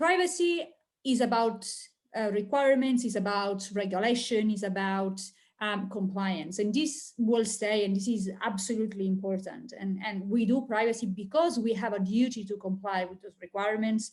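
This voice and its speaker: In an Italian accent, a woman talks at a moderate pace with a fairly high, somewhat breathy voice. Her pitch varies in an ordinary way. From Italy. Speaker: industry analyst. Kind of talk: webinar presentation. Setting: online webinar.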